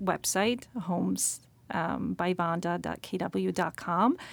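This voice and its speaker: In a very clean recording with a silent background, a woman speaks at a medium pitch with a Slovak accent. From Slovakia. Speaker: realtor. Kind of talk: interview.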